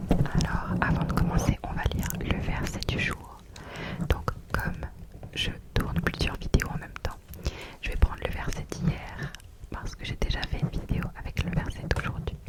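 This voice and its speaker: A woman whispers at a fairly slow pace, with long, frequent pauses over noticeable background noise. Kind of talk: soft-spoken ASMR poetry reading with religious devotional content. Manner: soft-spoken, gentle, calm.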